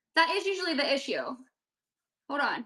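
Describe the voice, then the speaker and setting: Using a raised, projected voice, a woman speaks at a fairly quick pace in an extremely high pitch, with an animated tone and lively intonation. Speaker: online seller and crafter. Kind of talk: live-stream craft sale. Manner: fast.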